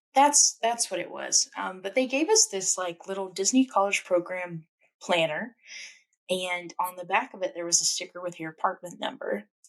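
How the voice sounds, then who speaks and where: Speaking at a moderate pace with a Memphis accent, a woman uses lively intonation and medium pitch, her loudness swinging widely. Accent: Southern US (Memphis). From US South, Memphis, Tennessee. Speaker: podcast co-host. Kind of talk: casual chat.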